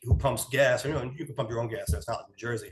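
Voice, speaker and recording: With an American accent, a man speaks in a medium pitch that is somewhat breathy, with ordinary pitch variation. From New York. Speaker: podcast co-host. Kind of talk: casual chat. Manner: conversational storytelling.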